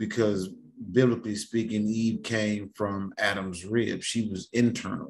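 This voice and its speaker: A man with an American accent, fairly low in pitch, at a fairly slow pace. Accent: sounds country. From California. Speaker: occult teacher. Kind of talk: lecture with reading aloud. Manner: halting.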